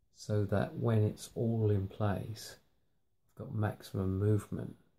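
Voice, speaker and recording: In a British accent, a man with a fairly low pitch and a dark, mellow, somewhat breathy tone speaks at a fairly slow pace with ordinary pitch variation. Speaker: hobbyist maker. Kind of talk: workshop tutorial. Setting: home workshop at night. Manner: hesitant, many fillers.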